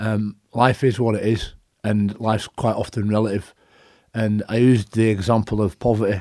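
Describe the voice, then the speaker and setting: With a Yorkshire accent, a man speaks at fairly low pitch in a flat monotone with a dark, mellow tone. The recording is very clean and dry, with a close sound, no echo and a silent background. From northern England, Leeds. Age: 40s. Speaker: rugby league coach and former player. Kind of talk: interview. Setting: studio.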